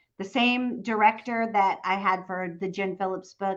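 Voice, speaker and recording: This woman's voice sits at a medium pitch. She speaks at a moderate pace. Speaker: novelist and audiobook narrator. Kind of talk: casual chat. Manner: animated.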